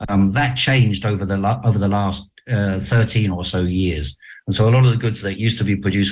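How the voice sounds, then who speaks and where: Pitch moves in an ordinary way. The speech goes at a moderate pace. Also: man. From half Chinese, half German heritage. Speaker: journalist. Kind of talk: interview. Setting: video call.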